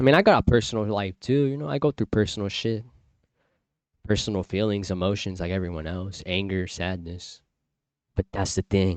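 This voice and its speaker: A man with a fairly low voice speaks at a fairly quick pace. The sound is dry and close with no echo, against a quiet background. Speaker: livestream talk host. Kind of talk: casual monologue. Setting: live stream. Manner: monotone.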